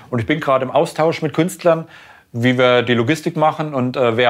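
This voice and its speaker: A man talks at a very fast pace. His fairly high voice has ordinary pitch variation. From Thuringia, Germany (Schmalkalden). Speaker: graffiti artist. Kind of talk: interview. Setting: artist's studio.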